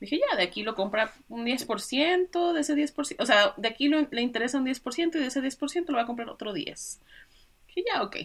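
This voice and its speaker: A woman talks in a high voice with lively intonation. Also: moderate pace. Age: 20s. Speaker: author and web developer. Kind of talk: interview.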